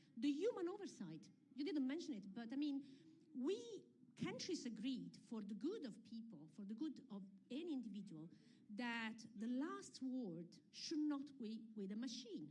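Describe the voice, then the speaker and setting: A woman speaks in an Italian accent at a moderate pace, her high pitch swinging very widely. Her tone is dark and mellow, and audible room echo surrounds her. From Italy. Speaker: UNESCO representative, panelist. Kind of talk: panel discussion.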